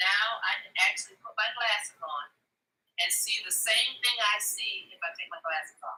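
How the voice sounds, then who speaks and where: Big swings in loudness run through the speech. A woman delivers it at a moderate pace. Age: 60s. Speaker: customer giving product testimonial. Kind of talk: live demonstration and testimony. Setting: live video stream.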